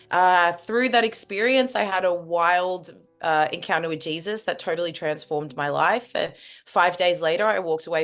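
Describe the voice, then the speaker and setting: Here a woman talks fairly quickly with an Australian accent. Her pitch is fairly low and varies in an ordinary way. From Australia, Melbourne. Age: 20s. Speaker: former agency recruiter, speaker. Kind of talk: interview.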